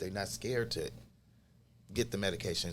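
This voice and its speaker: A loud man talks with vocal fry at a fairly low pitch. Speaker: clinic health worker. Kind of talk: podcast interview.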